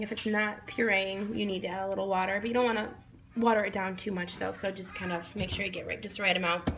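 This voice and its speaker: A woman at medium pitch, very fast and monotone with flat intonation, amid noticeable background noise and audible room echo. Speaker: parent. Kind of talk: tutorial; casual chat. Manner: casual, many fillers.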